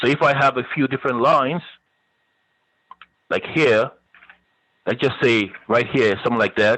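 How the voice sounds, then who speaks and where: Pausing long and often, a man speaks at a medium pitch with fairly even intonation and very even loudness. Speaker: college web design instructor. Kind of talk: lecture. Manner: fast.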